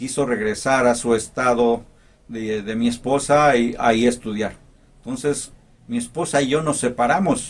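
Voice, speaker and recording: The man talks at a fairly slow pace with a medium pitch. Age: 60s. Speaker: motivational vlogger, former teacher. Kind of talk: personal life story. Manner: halting, with fillers.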